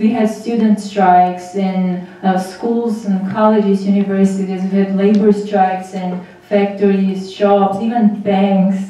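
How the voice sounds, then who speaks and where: A woman with an Armenian accent, monotone, flat intonation, a fairly slow pace with hardly any pauses, and strong room echo. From Armenia, Vanadzor. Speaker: graduate student in public policy, former human rights worker. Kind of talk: panel presentation. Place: hall.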